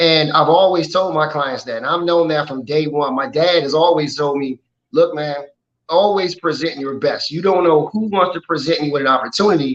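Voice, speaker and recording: A man speaks at a moderate pace in a plain, everyday voice. His pitch is fairly high, with ordinary variation. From Washington, D.C. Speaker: model and clothing designer. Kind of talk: interview.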